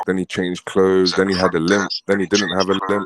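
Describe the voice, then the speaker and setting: A man's very deep, low voice in a British accent at a moderate pace, dry and close with no echo. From Britain. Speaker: caller on livestream panel. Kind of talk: casual chat.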